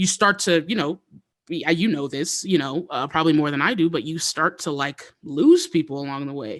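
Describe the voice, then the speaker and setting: Using a normal speaking voice, a man talks at a moderate pace in a fairly high pitch with ordinary pitch variation. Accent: American. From Louisiana, then Colorado from about age six. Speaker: hip hop artist. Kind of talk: casual interview chat.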